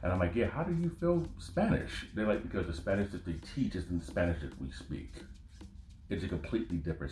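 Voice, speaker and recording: Music plays in the background as a man with an American accent talks, with audible room echo. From United States. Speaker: podcast host. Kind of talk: casual monologue. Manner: animated.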